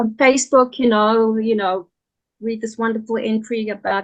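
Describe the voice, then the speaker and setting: A woman's high-pitched voice. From South Africa. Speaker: writer and translator. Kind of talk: interview.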